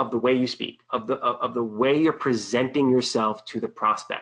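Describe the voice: A fairly bright tone at a moderate pace with an American accent. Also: man.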